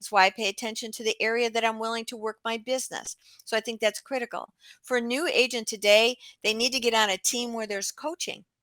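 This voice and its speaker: A woman talks very fast in a bright, sharp, animated voice of fairly high pitch with big swings in loudness, in a very clean recording with a silent background and a dry, close sound with no echo. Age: 70s. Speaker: real estate agent. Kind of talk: podcast interview.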